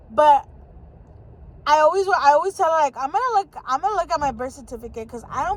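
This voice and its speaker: Over noticeable background noise, a woman with an American accent speaks fairly quickly in a high pitch with lively intonation. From Southern California, San Fernando Valley. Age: 20s. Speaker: vlogger. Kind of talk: casual chat. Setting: in a car. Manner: hesitant with many fillers.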